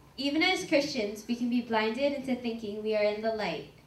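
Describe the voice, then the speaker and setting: A woman's voice carries ordinary pitch variation amid audible room echo and light background noise. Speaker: narrator of a church skit. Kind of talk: narration. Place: church.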